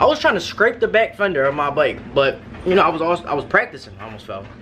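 There is light background noise. Over it, a man talks at a fairly quick pace. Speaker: vlogger. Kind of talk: casual vlog chat. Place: home room. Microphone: phone near.

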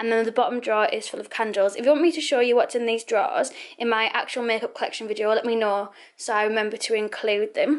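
A woman talking at a very fast pace with ordinary pitch variation over a quiet background. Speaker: beauty vlogger. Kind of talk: casual vlog chat. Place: home room. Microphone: phone near.

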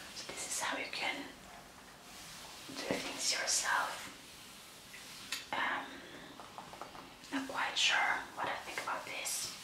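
Whispering comes at a very slow pace, broken by long, frequent pauses. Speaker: ASMR creator. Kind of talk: ASMR whispered magazine flip-through. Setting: home recording, quiet room. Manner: soft, whispered. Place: home room.

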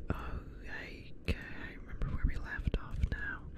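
The voice whispers at a very slow pace. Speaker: gamer. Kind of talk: casual gameplay commentary with ASMR whispering. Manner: whispered, quiet, soft-spoken. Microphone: studio mic.

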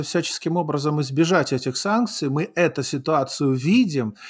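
Against a quiet background, a man speaks at a moderate pace with lively intonation. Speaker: live talk show host. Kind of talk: live political talk show. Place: home room. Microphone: studio mic.

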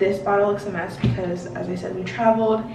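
Moderate-paced speech in an American accent, with audible room echo and noticeable background noise. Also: woman. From Washington, D.C. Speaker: beauty vlogger. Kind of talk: casual chat. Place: home room. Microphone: camera far.

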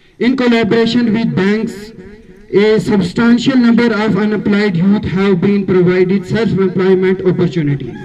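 Heard over light background noise, a man talks at a moderate pace with a high pitch, ordinary pitch variation and very even loudness. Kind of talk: formal speech. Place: street. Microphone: podium.

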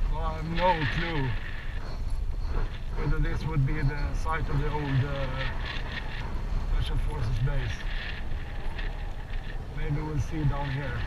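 A man's voice comes through dry, with no echo. Loud noise runs in the background. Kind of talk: casual vlog chat. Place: motorbike. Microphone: helmet.

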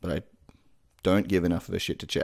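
A man speaks at a low pitch.

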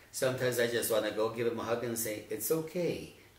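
A man's fairly quick speech with ordinary pitch variation and audible room echo. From northern New Mexico (Arroyo Seco, Taos area). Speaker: retired educator. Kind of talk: interview. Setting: at his home. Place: home room.

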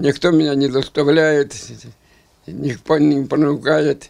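Against a quiet background, a man speaks at a very slow pace in a fairly high pitch. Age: 80s+. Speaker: war veteran. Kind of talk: interview answer. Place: home room.

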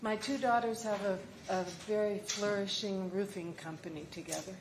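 A woman at a fairly slow pace with ordinary pitch variation, amid noticeable background noise and audible room echo. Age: 80s+. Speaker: market vendor giving public testimony. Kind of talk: public testimony. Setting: council meeting chamber.

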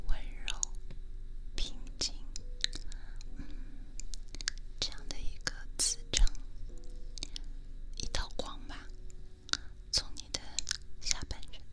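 Speaking at a very slow pace, a woman leaves long, frequent pauses. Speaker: ASMR streamer. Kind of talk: ASMR hypnosis guided relaxation, talking softly to the listener. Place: home room. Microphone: studio mic.

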